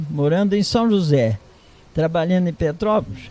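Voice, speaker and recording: A high-pitched man speaks with lively intonation over noticeable background noise. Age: 80s+. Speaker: retired farmer. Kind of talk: interview.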